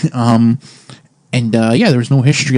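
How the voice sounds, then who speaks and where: In a dry, close sound with no echo, a man with a Canadian accent uses an ordinary speaking voice at medium pitch with fairly even intonation. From Canada. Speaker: podcast host. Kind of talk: casual chat.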